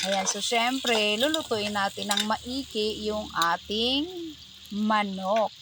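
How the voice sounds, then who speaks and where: A woman speaks very slowly in a fairly high voice with ordinary pitch variation. Noticeable background noise runs underneath. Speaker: cooking vlogger. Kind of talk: tutorial. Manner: animated.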